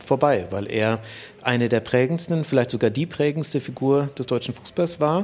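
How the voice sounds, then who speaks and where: Speaking with a plain, everyday voice, a man uses a fairly high pitch, ordinary pitch variation and a moderate pace. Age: 30s. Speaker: sports journalist and author. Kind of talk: interview.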